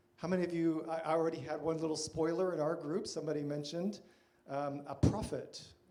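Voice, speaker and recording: A man with an American accent speaks very fast at a fairly high pitch in a monotone, flat intonation. Noticeable background noise and audible room echo surround him. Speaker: church workshop presenter. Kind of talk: lecture.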